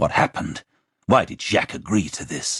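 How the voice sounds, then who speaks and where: Growling in a put-on character voice, a man speaks at a moderate pace. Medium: read story.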